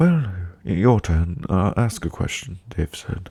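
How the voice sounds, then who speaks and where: A man speaks at a very deep, low pitch, somewhat breathy. His intonation is lively. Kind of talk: read story. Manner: soft-spoken.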